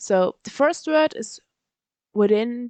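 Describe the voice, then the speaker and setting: A woman with a German accent at a very slow pace, ordinary pitch variation and a dry, close sound with no echo. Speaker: language learning YouTuber. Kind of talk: tutorial. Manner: halting.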